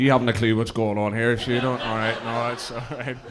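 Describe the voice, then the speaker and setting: A man with a Belfast accent at a medium pitch and a fairly quick pace, amid noticeable background noise and audible room echo. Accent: Belfast Northern Irish. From Northern Ireland, East Belfast. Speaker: cross community worker and musician. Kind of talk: stage introduction with banter. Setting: stage with audience at interfaith event. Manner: casual, halting with fillers.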